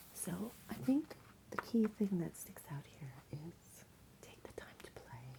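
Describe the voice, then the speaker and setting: Over noticeable background noise, someone speaks in a whisper at a fairly slow pace. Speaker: ASMR creator. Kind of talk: ASMR roleplay, crystal card reading. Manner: soft-spoken; occasional whispering, smiling.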